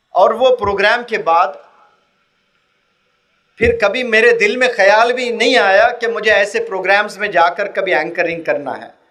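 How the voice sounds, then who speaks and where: In a raised, projected voice, a man speaks at a high pitch. He shows ordinary pitch variation. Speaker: motivational speaker. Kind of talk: motivational public lecture to students. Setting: on stage in front of a live audience.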